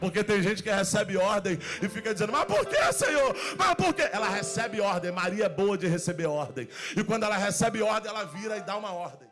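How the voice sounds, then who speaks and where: Animated and fairly quick, a man talks in a high pitch with ordinary pitch variation. Background noise is noticeable. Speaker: pastor. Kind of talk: sermon. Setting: church. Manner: fast.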